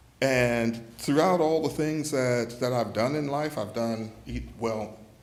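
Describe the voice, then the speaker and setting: Amid audible room echo, a man speaks very slowly at a medium pitch with ordinary pitch variation. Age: 60s. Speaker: retiring paramedic. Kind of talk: farewell speech.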